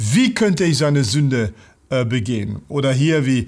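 A man in a French accent, medium in pitch, with lively intonation at a moderate pace against a quiet background. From France. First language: French (speaking German). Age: 60s. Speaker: pastor. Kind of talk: bible teaching talk; lecture. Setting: online video. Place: studio.

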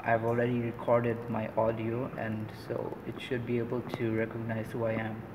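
A man speaks at a medium pitch and moderate pace, with monotone, flat intonation. Noticeable background noise is present. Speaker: student. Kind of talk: project demonstration. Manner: hesitant with many fillers.

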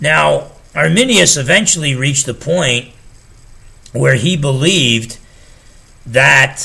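This man has a New Jersey accent and a bright, sharp tone. His intonation is lively. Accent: New Jersey American. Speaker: pastor and theology teacher. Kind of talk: solo theology lecture. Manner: casual with frequent fillers. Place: home room.

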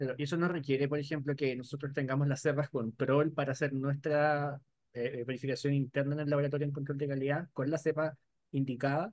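A man's fairly quick, monotone delivery with flat intonation and a fairly high pitch, in a dry sound with no echo against a quiet background. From Chile. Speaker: webinar moderator, lab microbiologist; webinar moderator. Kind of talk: webinar discussion. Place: home room. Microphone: video call.

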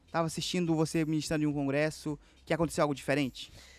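A man talks at a very fast pace in a fairly high pitch with an animated tone, the sound dry with no echo and faint music in the background. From Amazonas interior, Brazil. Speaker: podcast host. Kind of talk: casual interview chat. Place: studio. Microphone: studio mic.

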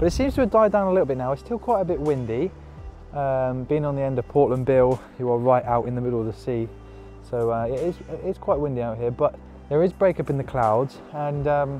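Over faint background music, a man speaks at a fairly quick pace with ordinary pitch variation, the sound dry with no echo. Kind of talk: casual vlog chat. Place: open country. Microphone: lapel.

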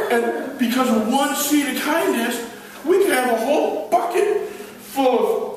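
Through strong room echo and light background noise, a man with an extremely high voice speaks at a fairly slow pace with lively intonation. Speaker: evangelist and gospel magician. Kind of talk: children's ministry talk with magic demonstration. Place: hall. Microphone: camera far.

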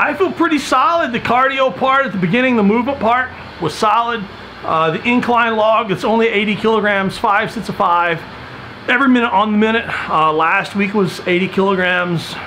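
A raised, projected voice at a fairly quick pace with ordinary pitch variation, over light background noise. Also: man. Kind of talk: casual vlog chat. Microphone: phone near.

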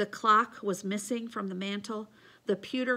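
Someone reads aloud in a natural voice.

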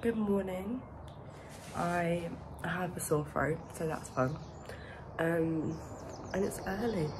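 Against noticeable background noise, a woman talks at a very slow pace with ordinary pitch variation. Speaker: vlogger. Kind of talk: casual vlog chat.

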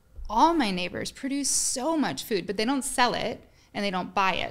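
A woman's lively, moderately paced speech with vocal fry, over a quiet background. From US West (Colorado). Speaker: farmer and educator. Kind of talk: interview. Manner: passionate, animated. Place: studio. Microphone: studio mic.

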